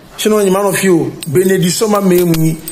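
Over strong room echo, a man with a high pitch and a slightly mellow tone speaks with fairly even intonation. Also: moderate pace.

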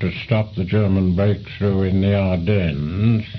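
A man speaks at a fairly slow pace in a fairly low voice. There is noticeable background noise. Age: 80s+. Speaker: retired air force commander. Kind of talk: oral history interview answer. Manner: passionate.

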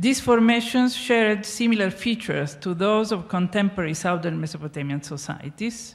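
A woman with an Italian accent speaks at medium pitch and a moderate pace, somewhat breathy, with lively intonation and hardly any pauses. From Italy. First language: Italian (speaking Spanish). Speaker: archaeologist, professor; conference speaker. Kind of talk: lecture. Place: stage. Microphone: handheld.

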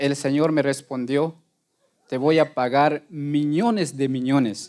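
The background is quiet. A man speaks at a fairly high pitch for a man. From Guatemala. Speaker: lay preacher. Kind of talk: testimony. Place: church.

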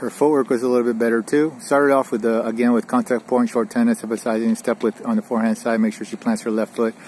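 Over light background noise, a man speaks at a very fast pace in a monotone, flat intonation, with a dry sound and no echo. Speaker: tennis coach. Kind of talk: lesson summary. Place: open country.

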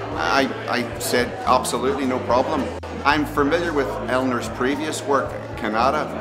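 Clear music sits in the background. A man is speaking. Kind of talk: interview answer. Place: hall.

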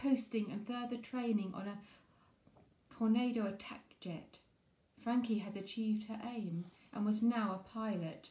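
A woman speaks at a moderate pace with long, frequent pauses, her fairly high, somewhat breathy voice carrying a dark, mellow tone and fairly even intonation over audible room echo. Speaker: poetry reviewer and author. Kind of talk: poem reading aloud, performed. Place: home room. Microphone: phone near.

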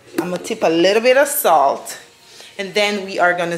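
A woman speaks over noticeable background noise. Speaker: family vlogger. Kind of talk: casual vlog chat. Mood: cheerful, relaxed. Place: kitchen. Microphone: phone near.

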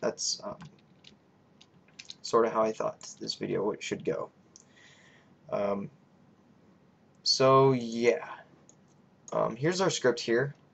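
Long pauses come often in this very slow speech. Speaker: YouTuber teaching game scripting. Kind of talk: tutorial. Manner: hesitant, many fillers.

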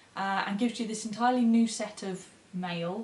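With audible room echo, a woman speaks at a fairly slow pace with ordinary pitch variation. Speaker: book reviewer. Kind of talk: casual book review to camera. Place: home room. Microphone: camera far.

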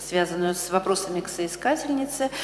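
Light background noise and audible room echo surround a man speaking with lively intonation at a high pitch. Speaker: dissertation council chair. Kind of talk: formal meeting chairing. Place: hall. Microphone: podium.

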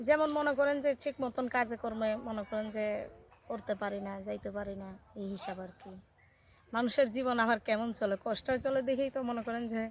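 The woman has an ordinary speaking voice, pitched fairly high, with ordinary pitch variation. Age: young. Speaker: interviewee seeking a marriage partner. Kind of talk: interview.

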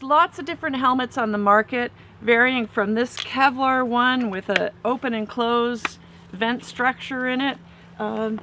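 At a moderate pace and with ordinary pitch variation, a woman speaks in a dry sound with no echo over light background noise. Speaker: dive gear instructor. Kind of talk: tutorial. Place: garden.

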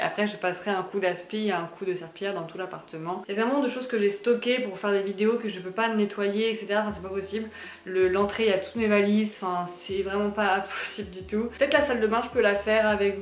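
Speech races at a very fast pace with hardly any pauses and fairly even intonation. Audible room echo and light background noise are present. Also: woman. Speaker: lifestyle vlogger. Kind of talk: casual vlog chat. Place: kitchen.

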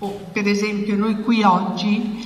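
A woman at a medium pitch and very slow pace, with audible room echo. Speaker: journalist. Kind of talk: moderated talk. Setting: stage with audience. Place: meeting room. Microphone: handheld.

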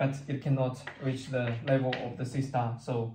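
A man speaks at a moderate pace with fairly even intonation, his tone dark, mellow and somewhat breathy. Room echo is audible. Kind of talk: lecture. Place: classroom. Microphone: camera far.

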